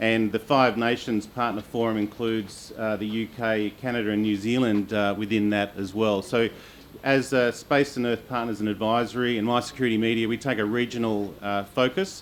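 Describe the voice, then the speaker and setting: Over noticeable background noise, a man with an Australian accent speaks at medium pitch and a moderate pace. His intonation is monotone and flat. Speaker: panel moderator. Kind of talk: panel moderation. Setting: conference stage with audience. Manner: many filler uhs, halting.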